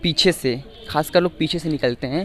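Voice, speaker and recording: A man with a fairly high pitch talks while noticeable noise runs in the background. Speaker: reporter. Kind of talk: on-location tour report to camera.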